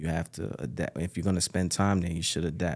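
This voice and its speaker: Speaking in a New York accent, a man has a very deep, low voice and fairly even intonation. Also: very clean recording, silent background. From Bronx, New York, Ghanaian parents. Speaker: record label executive and artist manager. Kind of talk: casual interview.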